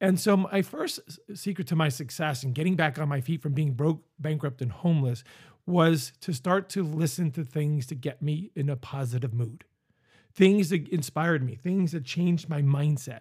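With an American accent, a man speaks in a somewhat breathy, fairly high-pitched voice on a very clean recording with a silent background. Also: ordinary pitch variation, moderate pace. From Northeast Pennsylvania. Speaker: business coach and podcast host. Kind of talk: motivational monologue.

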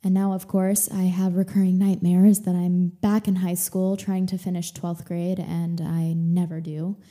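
A woman's somewhat breathy, dark, mellow voice at medium pitch, monotone and flat, moderate in pace with hardly any pauses, on a very clean recording with a silent background. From Texas. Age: 20s. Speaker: podcast host, actress and yoga teacher. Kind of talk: casual monologue. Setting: home living room. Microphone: good podcasting microphone.

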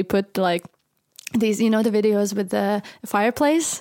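Speaking fairly slowly, a woman keeps a medium pitch and fairly even intonation. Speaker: podcast host. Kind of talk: casual chat.

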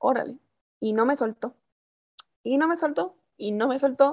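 A woman's voice carries a dark, mellow tone and lively intonation. The background is quiet. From Mexico, Chihuahua. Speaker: voice actress. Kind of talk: casual interview.

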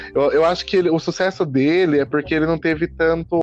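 A man speaks with a fairly high pitch. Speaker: podcast host, film reviewer. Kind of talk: casual chat. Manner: fast.

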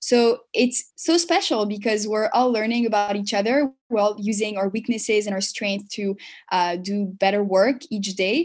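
A woman with a French accent at a fairly high pitch, moderate pace, ordinary pitch variation and hardly any pauses, in a very clean recording with a silent background. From Paris, then Montreal from age seven. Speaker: marketing consultant and entrepreneur. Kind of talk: interview.

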